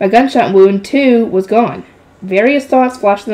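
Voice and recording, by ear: The pitch moves in an ordinary way as someone reads aloud in a natural voice.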